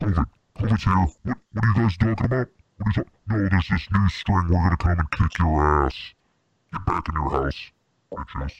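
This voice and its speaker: A man puts on a character voice with a very deep, low pitch at a moderate pace. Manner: menacing, shouting threats.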